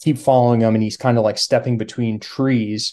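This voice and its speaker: Using an ordinary speaking voice, a man talks at a medium pitch with fairly even intonation. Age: 30s. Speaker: hunter. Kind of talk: casual chat.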